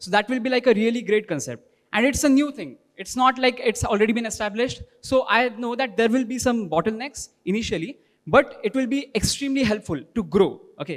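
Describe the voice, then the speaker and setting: A man speaks in an extremely high pitch with an Indian accent. His pitch varies in an ordinary way, and his pace is fairly quick. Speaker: workshop participant presenting. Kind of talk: group presentation. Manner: fast.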